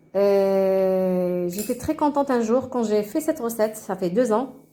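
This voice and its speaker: A woman's fairly high voice, dark and mellow in tone, at a moderate pace with ordinary pitch variation. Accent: non-native. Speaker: cooking channel host. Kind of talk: cooking tutorial. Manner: halting, many hesitations.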